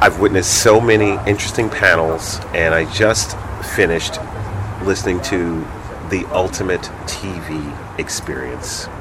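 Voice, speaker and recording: Over noticeable background noise, a man with a very deep, low voice speaks at a fairly slow pace. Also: ordinary pitch variation. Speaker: radio host. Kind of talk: radio interview. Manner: upbeat, friendly.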